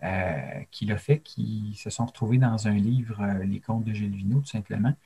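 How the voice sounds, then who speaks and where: A man's dark, mellow, somewhat breathy voice at a moderate pace with ordinary pitch variation. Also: fairly low pitch for a man. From Quebec, Abitibi-Témiscamingue. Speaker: storyteller. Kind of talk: interview. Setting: remote video call.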